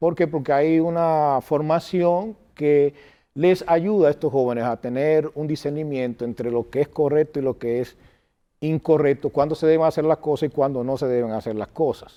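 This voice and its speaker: With a normal speaking voice, this man holds a moderate tempo, his fairly high pitch varying in an ordinary way. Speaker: political candidate and school director. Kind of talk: interview.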